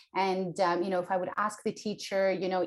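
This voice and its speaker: A woman's fairly quick speech against noticeable background noise. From Ukraine. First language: Russian and Ukrainian. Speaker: entrepreneur, personal branding expert. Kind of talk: podcast interview.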